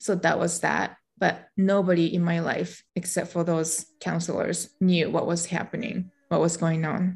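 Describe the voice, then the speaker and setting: A woman talks at a fairly slow pace with a Japanese accent. Her voice is fairly low and somewhat breathy. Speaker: meditation teacher and podcaster, former legal professional. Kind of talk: casual interview chat, personal storytelling.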